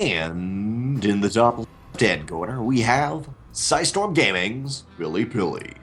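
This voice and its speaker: Booming in a put-on character voice, a man talks at a fairly slow pace with a medium pitch. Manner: booming announcer inflection.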